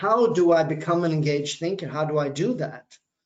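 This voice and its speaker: At a moderate pace, a man speaks at a fairly high pitch with ordinary pitch variation. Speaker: business lecturer. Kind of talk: webinar talk. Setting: online webinar. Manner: hesitant with fillers.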